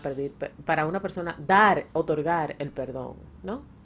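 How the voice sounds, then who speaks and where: A woman speaks with a Dominican accent at a fairly slow pace, her pitch fairly low. Her tone is animated, with ordinary pitch variation. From Dominican Republic. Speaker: podcast co-host. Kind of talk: casual chat.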